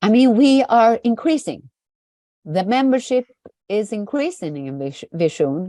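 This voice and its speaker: At a fairly slow pace, a woman with fairly high pitch and a dark, mellow tone makes very wide pitch swings, heard in a dry, close sound with no echo. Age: 60s. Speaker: trade union official. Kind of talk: online exchange Q&A. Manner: halting.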